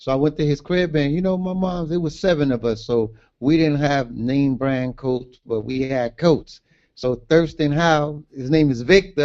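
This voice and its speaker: Speaking in a New York accent at a moderate pace, a man uses a fairly high pitch with ordinary pitch variation. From Brooklyn, New York (Brownsville). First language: Garifuna. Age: 50s. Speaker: author. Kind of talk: interview. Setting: livestream.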